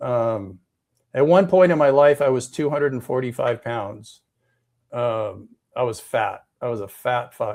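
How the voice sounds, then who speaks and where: A man speaks at a fairly slow pace in a medium pitch. His pitch variation is ordinary. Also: very clean recording, silent background. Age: 60s. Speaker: rideshare driver. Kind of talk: casual chat. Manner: halting, many repeated words.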